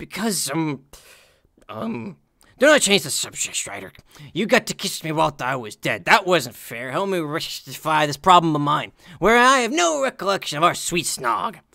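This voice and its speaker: Someone puts on a character voice at a middle pitch, moving at a moderate pace. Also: very clean recording, silent background. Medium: read story. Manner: slurred, bubbly, pushy.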